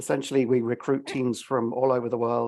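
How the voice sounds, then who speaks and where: A man's dark, mellow tone at a medium pitch, with fairly even intonation over a quiet background. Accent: English. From England, London. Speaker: venture investor. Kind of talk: panel introduction.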